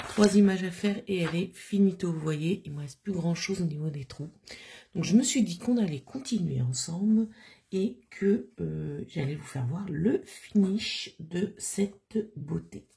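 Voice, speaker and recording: The voice is somewhat breathy, with a dark, mellow tone, lively intonation and big swings in loudness. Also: woman, medium pitch for a woman, fairly slow pace. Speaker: crafting YouTuber. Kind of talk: casual craft tutorial vlog. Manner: hesitant, many fillers.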